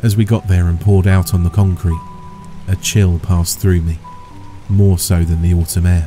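Against music in the background, a man with a very deep, low pitch speaks at a moderate pace in a monotone, flat intonation. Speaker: horror story narrator. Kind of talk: story narration.

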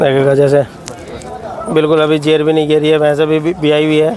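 Over faint background noise, a man with a fairly high pitch and slightly mellow tone talks at a fairly quick pace with little pitch movement.

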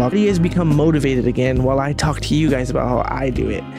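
Over clear background music, a man talks at a very fast pace in a dry sound with no echo. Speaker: artist vlogger. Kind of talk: casual vlog chat. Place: home room. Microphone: studio mic.

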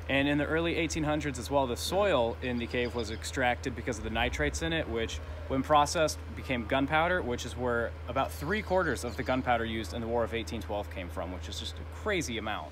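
A man talks at a very fast pace with hardly any pauses, his pitch swinging very widely. Noticeable background noise runs underneath. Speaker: travel vlogger. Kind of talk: casual vlog chat. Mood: cheerful, excited. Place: forest. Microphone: phone near.

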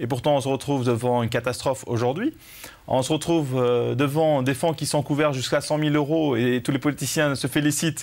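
A normal speaking voice from a man, fairly high-pitched, with ordinary pitch variation and a moderate pace. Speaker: TV presenter. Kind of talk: TV talk show hosting. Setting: studio. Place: studio. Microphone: lapel.

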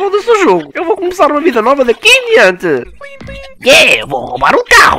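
The voice has an extremely high pitch and a fairly quick pace. Clear background noise is present. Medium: fan dub. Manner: gloomy, resigned.

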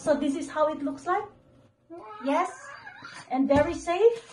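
A woman's speech comes with light background noise behind it. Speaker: home vlogger. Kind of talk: casual vlog chat, product unboxing. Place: home room. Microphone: phone near.

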